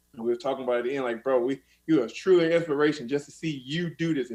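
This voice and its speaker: The speaker has an American accent and talks at a very fast pace. The intonation stays fairly even. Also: man. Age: 30s. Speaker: MMA fighter. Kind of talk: casual chat.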